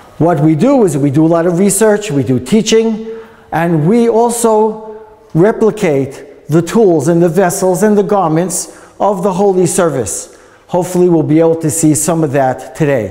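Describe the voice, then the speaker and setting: Over noticeable background noise and audible room echo, a man with a New York accent talks at a moderate pace in a high pitch, with lively intonation and very even loudness. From US, New York. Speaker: tour guide. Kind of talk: guided tour talk.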